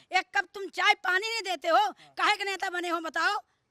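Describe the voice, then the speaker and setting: A woman speaks in a raised, projected voice, extremely high in pitch, bright and sharp in tone, with fairly even intonation. The sound is dry and close, without echo. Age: 60s. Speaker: local resident interviewed on street. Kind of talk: street interview, angry complaint. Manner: halting, stammering restarts.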